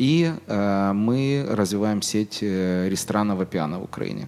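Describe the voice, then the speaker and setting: Lively in intonation, a man with a normal speaking voice talks at a fairly low pitch. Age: 40s. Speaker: business owner. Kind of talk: interview. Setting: studio.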